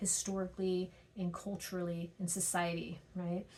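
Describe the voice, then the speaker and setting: A woman's somewhat breathy voice sits at a medium pitch, with audible room echo around it. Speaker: teacher. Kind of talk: recorded lecture. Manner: fast; hesitant with frequent fillers.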